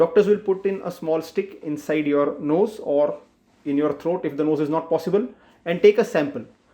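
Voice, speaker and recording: The speaker has an Indian accent and a moderate pace. Pitch varies in an ordinary way. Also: man, high pitch for a man. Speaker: doctor. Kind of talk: health awareness explainer. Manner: simple, plain explanation.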